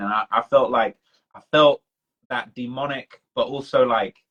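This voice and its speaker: Here is a man. He speaks in a British accent. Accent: British accent, sounds non-Toronto. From UK. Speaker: livestream host, hip hop commentator. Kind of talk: casual chat on livestream. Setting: Instagram live stream. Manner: animated.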